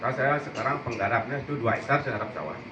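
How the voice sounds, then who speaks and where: Very fast male speech with noticeable background noise and audible room echo. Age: 60s. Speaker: farmer, former hotel chef. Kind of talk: panel discussion.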